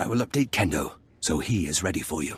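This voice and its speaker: A put-on character voice growls its way through the lines at a very fast pace. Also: man. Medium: video game. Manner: broken, blunt speech.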